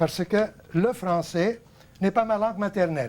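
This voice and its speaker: With an Arabic accent, a man speaks at a fairly slow pace with ordinary pitch variation. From Lebanon. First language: Arabic (speaking French). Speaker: TV host, painting teacher. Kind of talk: televised talk to viewers, unscripted lecture. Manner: hesitant, many fillers.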